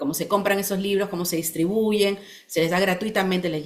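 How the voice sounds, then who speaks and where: A woman speaks at a fairly quick pace. She has a plain, everyday voice and fairly even intonation. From Peru. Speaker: children's book author. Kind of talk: interview.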